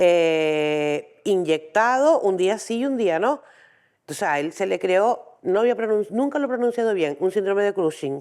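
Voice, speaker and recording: At a fairly slow pace, a woman speaks at a medium pitch with very wide pitch swings in a very clean recording with a silent background. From Canary Islands, Tenerife. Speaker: intersex rights activist, parent. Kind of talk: conference talk. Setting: training day lecture with audience.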